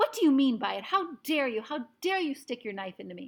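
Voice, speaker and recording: In a put-on character voice that sounds female, the speaker talks high and fairly quick, with very wide pitch swings, big jumps in loudness and a hissing quality. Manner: hissing, furious.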